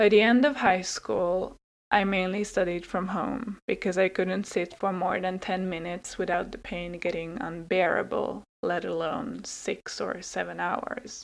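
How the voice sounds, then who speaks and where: Her pitch medium and touched with vocal fry, a woman speaks at a fairly slow pace with ordinary pitch variation. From Hungary. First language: Hungarian and Swedish. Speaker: podcast host and sociology student. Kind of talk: personal storytelling monologue.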